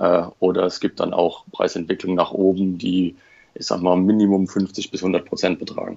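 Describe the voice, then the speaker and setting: Here a man speaks with a very deep, low pitch. His intonation is monotone and flat, at a moderate pace. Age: 30s. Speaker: Lego collector and private investor. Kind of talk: casual interview.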